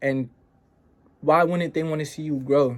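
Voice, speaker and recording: The man's voice is fairly high in pitch. His intonation stays fairly level. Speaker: self-improvement podcaster. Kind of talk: motivational talk. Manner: casual.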